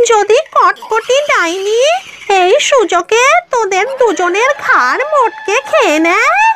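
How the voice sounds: In a cartoonish character voice, a female-sounding speaker talks at an extremely high pitch and a very slow pace, with clear background noise.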